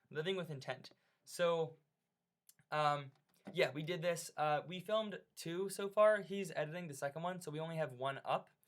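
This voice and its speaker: A man speaks with ordinary pitch variation. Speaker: teacher presenting course project. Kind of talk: screencast tutorial walkthrough. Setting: screen recording at computer. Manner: fast; casual, hesitant with fillers.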